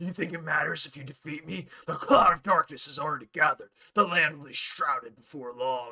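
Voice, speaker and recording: A man's put-on character voice, fairly high-pitched and fairly quick, with hardly any pauses and big swings in loudness. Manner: menacing, cool.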